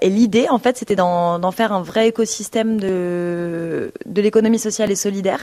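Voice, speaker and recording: A woman with a normal speaking voice, medium pitch, moderate pace and hardly any pauses, in a very clean recording with a silent background. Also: fairly even intonation. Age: 20s. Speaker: nonprofit worker. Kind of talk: radio interview.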